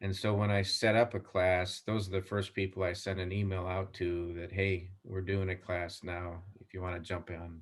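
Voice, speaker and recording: Speaking at a moderate pace with hardly any pauses, a man with a very deep, low pitch keeps a monotone, flat intonation while his loudness swings widely. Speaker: civil engineer and concrete supplier technical manager. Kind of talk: interview.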